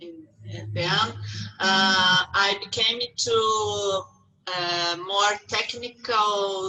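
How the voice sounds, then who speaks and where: A woman with a non-native accent speaks at a very slow pace, with long, frequent pauses and big swings in loudness. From abroad, across the Atlantic. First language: not English. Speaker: artist. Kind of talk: interview. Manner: halting.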